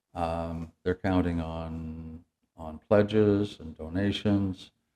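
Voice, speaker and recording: Very slow and monotone, the voice carries a dark, mellow tone in an Ontario accent. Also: man, very deep, low pitch for a man. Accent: Canadian (Ontario). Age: 70s. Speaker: municipal council candidate. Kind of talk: interview. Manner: halting.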